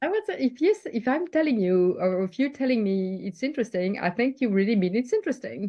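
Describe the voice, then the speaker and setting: A woman talks at a fairly quick pace with a French accent. Her intonation is lively. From France. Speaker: leadership coach. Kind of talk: interview.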